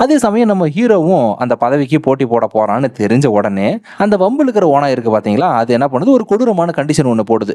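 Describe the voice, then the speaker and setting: A man's fairly high voice with very wide pitch swings over noticeable background noise. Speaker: movie explainer voice-over narrator. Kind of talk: movie plot explanation narration. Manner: casual, lively storytelling.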